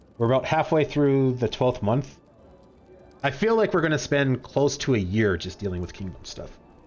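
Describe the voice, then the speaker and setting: Music plays behind a man whose pitch leaps very widely up and down. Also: medium pitch for a man, moderate pace. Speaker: game streamer. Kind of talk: casual chat. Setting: live stream.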